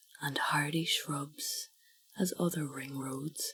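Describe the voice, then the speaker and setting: Soft-spoken and very slow, a woman with an Irish accent talks with fairly even intonation. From Ireland. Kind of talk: sleep story.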